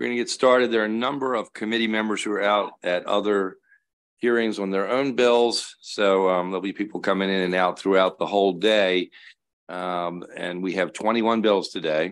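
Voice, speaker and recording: A man with a fairly low pitch talks in a normal speaking voice at a moderate pace, his intonation fairly even. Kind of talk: meeting opening remarks. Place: hall. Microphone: podium.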